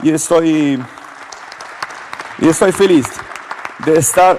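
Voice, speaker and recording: A man talks at a very slow pace as noticeable background noise carries on. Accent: Italian. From Italy. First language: Italian (speaking Spanish). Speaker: politician. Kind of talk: panel speech, partly read. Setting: stage with audience.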